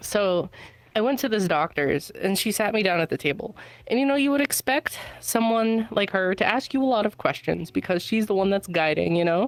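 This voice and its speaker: Noticeable background noise sits behind a woman with a medium pitch. Her intonation is lively and her loudness is very even. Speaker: stranger chatting on a podcast. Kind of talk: casual chat. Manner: halting, many fillers.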